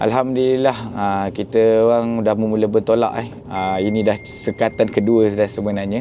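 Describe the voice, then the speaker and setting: Noticeable background noise sits behind a man speaking at medium pitch. His moderate delivery is monotone and flat. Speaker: travel vlogger on hajj pilgrimage. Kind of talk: travel vlog narration. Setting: on a bus and outdoors at Arafah.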